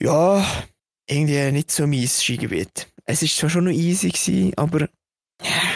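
Fairly slow speech with a Swiss accent. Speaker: podcast co-host. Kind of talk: casual chat.

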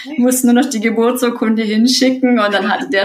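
The speaker is a woman. Her voice is somewhat breathy. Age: 30s. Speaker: course participant, parent on leave. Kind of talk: interview.

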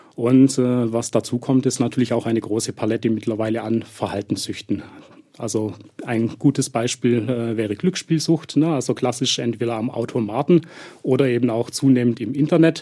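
At a moderate pace, a man of medium pitch speaks in a dark, mellow tone with ordinary pitch variation. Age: 40s. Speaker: addiction therapist. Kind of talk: expert interview. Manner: frequent filler hesitations.

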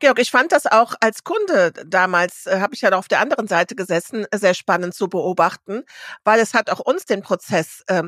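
A woman with an unremarkable speaking voice talks at a moderate pace in a fairly high pitch, with a dry, close sound with no echo. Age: 50s. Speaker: podcast co-host. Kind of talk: casual chat. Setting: studio.

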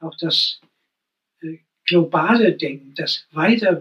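The voice is bright and sharp in tone, moving very slowly with ordinary pitch variation. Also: man. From Thuringia, Thuringian Forest (Steinheid). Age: 80s. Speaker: poet and retired music teacher. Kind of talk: interview. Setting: at the guest's home.

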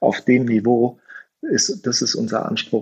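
A man's voice at a medium pitch. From Middle Rhine region, Germany. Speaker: startup founder and designer. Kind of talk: interview conversation. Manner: hesitant, many fillers.

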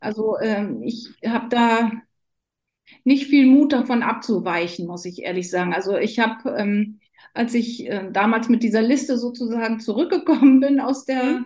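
Fairly high-pitched with ordinary pitch variation, a woman speaks in an unremarkable speaking voice. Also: moderate pace. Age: 50s. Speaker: nurse. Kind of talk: casual interview.

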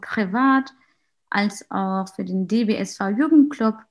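Her voice is medium in pitch and somewhat breathy. The woman goes at a very slow pace with ordinary pitch variation. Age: 20s. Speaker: student and youth group leader. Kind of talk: casual self-introduction. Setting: video call.

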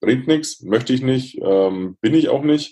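A man's dark, mellow voice, lively in intonation, at a fairly slow pace. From Lower Franconia, Bavaria (near Würzburg). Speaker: motivational speaker. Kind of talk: interview.

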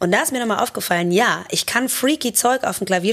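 Over noticeable background noise, a woman talks at a fairly quick pace in an animated tone with ordinary pitch variation. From Germany, Cologne. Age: 30s. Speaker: drummer, singer and multi-instrumentalist. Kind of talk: casual interview chat. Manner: lively, animated.

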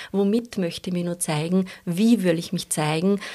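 A woman's unremarkable speaking voice at medium pitch, moderate in pace, with fairly even intonation, on a very clean recording with a silent background. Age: 40s. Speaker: shiatsu practitioner. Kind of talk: interview.

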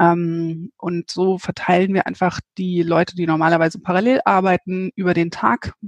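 A woman speaks in an unremarkable speaking voice at a fairly low pitch. Her pace is moderate and her intonation fairly even. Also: dry, close sound with no echo. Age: 30s. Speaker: managing director of a local online news platform. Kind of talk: interview. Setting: remote call from home office.

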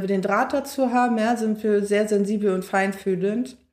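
Her voice has a fairly high pitch and fairly even intonation. The woman keeps a moderate pace. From Berlin, Germany. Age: 20s. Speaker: social work student. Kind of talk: casual chat. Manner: loud.

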